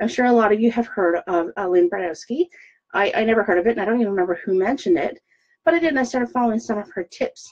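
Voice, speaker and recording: Talking at a very fast pace, a woman uses a fairly high pitch and lively intonation. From Newfoundland, Canada. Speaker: direct sales consultant. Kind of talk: tutorial. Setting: Facebook live video.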